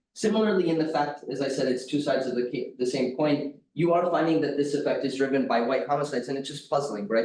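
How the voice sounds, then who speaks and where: A man with an American accent talks at a fairly quick pace with fairly even intonation. Audible room echo surrounds his voice. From United States. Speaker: academic economist, conference discussant. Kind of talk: conference discussant talk.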